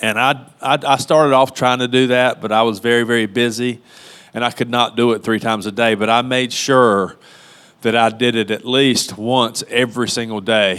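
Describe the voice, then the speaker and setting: At a moderate pace and medium pitch, a man talks in a plain, everyday voice with fairly even intonation. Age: 50s. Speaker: church member giving testimony. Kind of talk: testimony.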